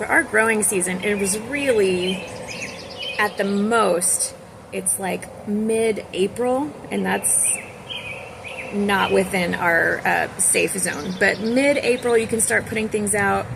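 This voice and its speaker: Noticeable background noise sits behind a woman with an American accent. She speaks at a very slow pace and medium pitch, with ordinary pitch variation. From Texas. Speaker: homemaker and gardening vlogger. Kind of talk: casual vlog talk.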